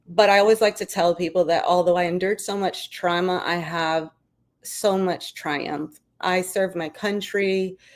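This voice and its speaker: A woman with an American accent speaks at a moderate pace and medium pitch in a monotone, flat way. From New York City, Brooklyn. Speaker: army veteran and business founder. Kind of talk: interview.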